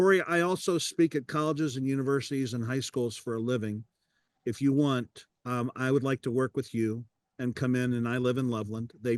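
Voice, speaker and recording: In an ordinary speaking voice, the speaker talks at a fairly quick pace with ordinary pitch variation and a dry, close sound with no echo. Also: man, medium pitch for a man. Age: 60s. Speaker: podcast host and public speaker. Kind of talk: casual interview chat. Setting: video call.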